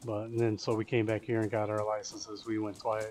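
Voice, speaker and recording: Speaking in an American accent, a man moves at a fairly quick pace with monotone, flat intonation. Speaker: gaming streamer. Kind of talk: casual chat. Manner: rambling with frequent fillers and restarts.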